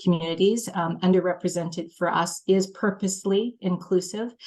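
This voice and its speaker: A woman with a Canadian accent uses a normal speaking voice, fairly low in pitch, with fairly even intonation. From Canada, small-town Manitoba. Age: 50s. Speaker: head of a film training organization. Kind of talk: panel discussion introduction.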